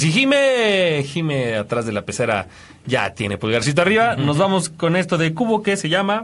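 A man with a Mexican accent speaks at a moderate pace, his pitch swinging very widely. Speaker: radio host. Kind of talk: casual chat.

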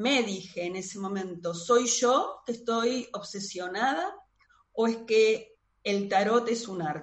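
Very slowly, a woman with a Rioplatense accent speaks at a fairly high pitch with ordinary pitch variation. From Buenos Aires, Argentina. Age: 50s. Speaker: tarot reader and astrologer. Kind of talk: interview conversation.

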